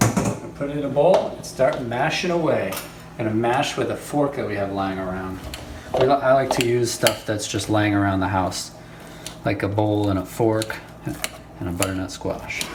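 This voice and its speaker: Against noticeable background noise and audible room echo, a man speaks at a moderate pace with a medium pitch and ordinary pitch variation. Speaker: home cooking show host. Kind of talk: cooking tutorial. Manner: casual, playful.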